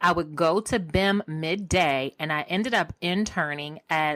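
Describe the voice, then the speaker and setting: In a very clean recording with a silent background, a woman with an unremarkable speaking voice and an American accent speaks at a fairly low pitch with ordinary pitch variation. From Baltimore, Maryland. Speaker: media personality and tech entrepreneur. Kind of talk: podcast interview.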